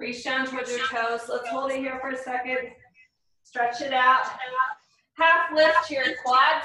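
Over noticeable background noise and audible room echo, a woman talks at a fairly slow pace in a high, bright, sharp tone with fairly even intonation and long, frequent pauses. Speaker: fitness instructor. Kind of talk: fitness class cool-down, calm guided stretching and breathing cues. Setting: live online video class. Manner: slow, soothing and steady, with measured pauses and sighs. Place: home room. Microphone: video call.

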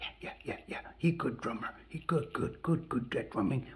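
An excited, put-on character voice speaks at a low-to-middle pitch and moderate pace. Light background noise can be heard. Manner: excited, repetitive.

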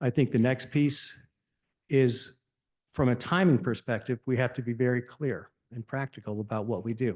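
In an unremarkable speaking voice, a man with a medium pitch talks at a moderate pace with fairly even intonation. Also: dry, close sound with no echo. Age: 60s. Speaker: resident speaking at public comment. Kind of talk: public comment at township meeting. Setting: township meeting at podium.

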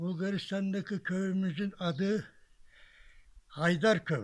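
A man at a high pitch, very slow pace and fairly even intonation, against a quiet background. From Bilecik, Turkey. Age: 80s+. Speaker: village elder. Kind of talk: interview answer. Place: garden.

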